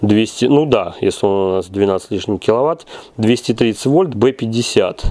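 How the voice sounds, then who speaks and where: A man's dark, mellow voice at a very slow pace with ordinary pitch variation. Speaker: generator repair workshop owner reviewing equipment. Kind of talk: product review tutorial. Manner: halting. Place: workshop. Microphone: phone near.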